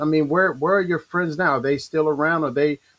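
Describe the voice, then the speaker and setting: A man talks with an American accent. His pitch is fairly high. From Baltimore, Maryland. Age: 40s. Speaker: talk show host. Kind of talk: interview. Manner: halting, many repeated words.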